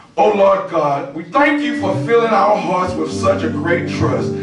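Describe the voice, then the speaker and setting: A man at a fairly slow pace, with audible room echo and clear music in the background. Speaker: preacher at lectern. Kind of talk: scripture reading and prayer. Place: church.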